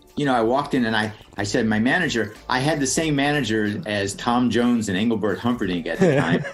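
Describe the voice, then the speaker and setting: A medium-pitched man talking very fast with hardly any pauses and ordinary pitch variation, amid noticeable background noise and audible room echo. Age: 70s. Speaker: comedian and writer. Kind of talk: casual chat. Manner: halting.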